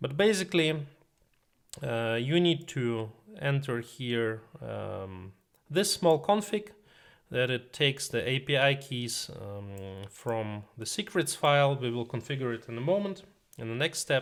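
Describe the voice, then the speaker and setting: A man's medium-pitched voice with a non-native accent, fairly slow, with very wide pitch swings, in a very clean recording with a silent background. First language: not English. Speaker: tech tutorial youtuber. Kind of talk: tutorial. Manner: many filler sounds (uh, um).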